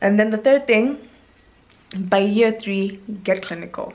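Her pace is moderate. This woman keeps her intonation fairly even. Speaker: medical intern and YouTuber. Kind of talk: vlog monologue. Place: home room. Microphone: phone near.

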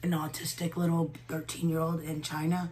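With music in the background, a woman speaks at a fairly low pitch in a monotone, flat way. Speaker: beauty vlogger. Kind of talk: casual makeup tutorial chat. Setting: at home. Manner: hesitant, frequent filler words.

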